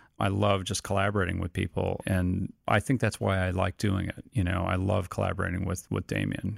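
This man has a very deep, low voice with vocal fry and an American accent, speaking at a moderate pace in a monotone, flat way. The recording is very clean with a silent background and a dry, close sound with no echo. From upstate New York (Rochester). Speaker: film editor. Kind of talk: interview.

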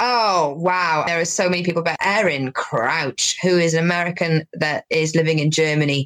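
A woman talks in a Welsh accent at a fairly low pitch, with ordinary pitch variation. Her loudness is very even and she hardly pauses. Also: moderate pace, dry, close sound with no echo. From Wales. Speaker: stand-up comedian. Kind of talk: casual interview chat. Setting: video call.

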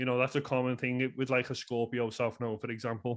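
Here a man talks with a Scouse accent. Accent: Scouse (Liverpool) English. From Liverpool, England. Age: 30s. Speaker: astrologer and author. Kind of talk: casual interview. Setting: remote podcast call.

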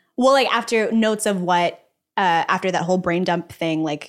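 In an American accent, a woman with an ordinary speaking voice talks at a fairly quick pace, her fairly low pitch carried by lively intonation, on a very clean recording with a silent background. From Texas, Dallas. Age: 20s. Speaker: actress and podcast host. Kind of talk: casual interview chat.

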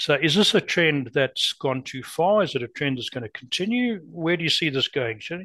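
A man's bright, sharp voice at a fairly quick pace, dry and close with no echo, in a very clean recording with a silent background. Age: 70s. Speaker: podcast co-host. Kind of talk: casual interview chat. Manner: talkative storyteller.

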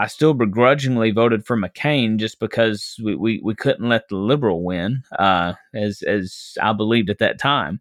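A man's medium-pitched voice in a Southern US accent, at a moderate pace with hardly any pauses and ordinary pitch variation. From Arkansas, US South. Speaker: minister and former political candidate. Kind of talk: casual interview conversation.

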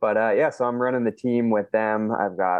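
Here is a man with a plain, everyday voice. He speaks in a fairly low pitch at a moderate pace. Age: 20s. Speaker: solar sales manager. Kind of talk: casual chat.

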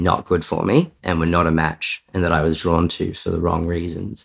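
Very deep and low-pitched, a man with an Australian accent talks at a moderate pace on a very clean recording with a silent background. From Australia, Victoria and Sydney. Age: 30s. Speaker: software developer sharing detransition story. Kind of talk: interview testimony.

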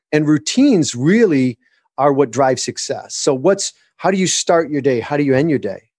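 An unremarkable speaking voice, a man's is fairly high and fairly quick, recorded dry and close with no echo against a quiet background. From Michigan. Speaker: author and business coach. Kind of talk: interview.

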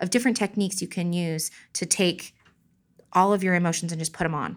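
At a fairly quick pace, a woman with a medium pitch speaks in a plain, everyday voice with ordinary pitch variation, recorded very cleanly against a silent background. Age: 30s. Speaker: mother of four, small art business owner. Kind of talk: casual interview, personal testimony.

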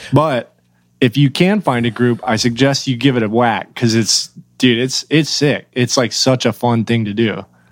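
A man's normal speaking voice with an American accent, medium pitch, ordinary pitch variation, and moderate pace. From Oklahoma. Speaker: metal band drummer. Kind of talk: casual chat. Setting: video call.

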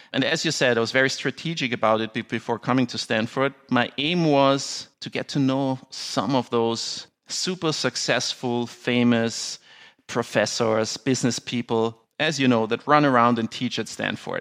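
A man with a medium pitch speaks at a moderate pace with fairly even intonation on a very clean recording with a silent background. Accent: German. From Austria. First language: German. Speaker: business attorney and sports franchise owner. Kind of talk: interview.

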